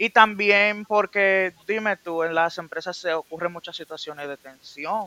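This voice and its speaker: A man with a bright, sharp tone and a high pitch projects his raised voice at a fairly slow pace, hardly pausing, his intonation fairly even and his loudness swinging widely, with a dry, close sound and no echo. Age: 20s. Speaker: industrial psychologist guest. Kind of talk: casual chat.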